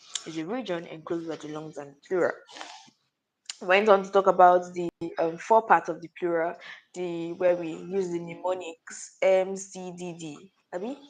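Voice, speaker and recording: Quiet and fairly low in pitch, a woman speaks at a moderate pace with fairly even intonation and big swings in loudness. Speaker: student summarizing a lesson. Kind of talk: oral recap of anatomy lesson. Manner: quiet, low volume.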